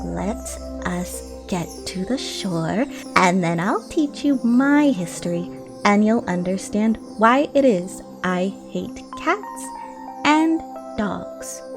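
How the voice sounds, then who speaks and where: In a shaky, put-on character voice, someone speaks at a very slow pace with long, frequent pauses while clear music plays in the background. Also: woman. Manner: pale with passion, emotional.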